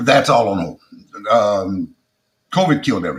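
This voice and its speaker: Speaking at a moderate pace, a man has a strong South Louisiana accent. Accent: heavy Creole South Louisiana. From South Louisiana (Acadiana), Creole. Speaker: comedian. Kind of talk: interview conversation.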